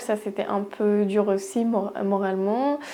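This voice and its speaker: This woman's voice is fairly high in pitch. She keeps her intonation fairly even. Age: 20s. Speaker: podiatrist. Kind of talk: testimony. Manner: halting, many hesitations.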